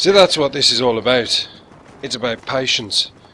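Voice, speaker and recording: A man talks at a medium pitch. Noticeable background noise runs beneath him. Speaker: gaming commentator. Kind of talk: video game commentary.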